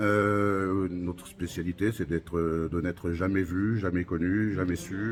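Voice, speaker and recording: A man with a very deep, low pitch speaks fairly slowly with fairly even intonation. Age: 60s. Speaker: museum curator and army veteran. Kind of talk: interview. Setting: museum. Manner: hesitant with fillers.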